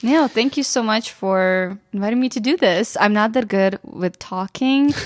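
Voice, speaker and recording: Speaking at a moderate pace with a Ukrainian accent, a woman uses a fairly high pitch and ordinary pitch variation. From western Ukraine. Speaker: photographer and YouTuber. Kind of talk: casual podcast interview. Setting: studio.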